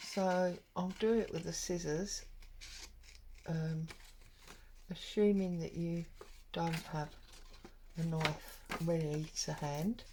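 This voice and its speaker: Somewhat breathy and dark, mellow in tone, a woman speaks at a very slow pace with fairly even intonation and long, frequent pauses. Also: fairly low pitch for a woman. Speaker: papercraft YouTuber. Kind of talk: crafting tutorial. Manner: casual, chatty.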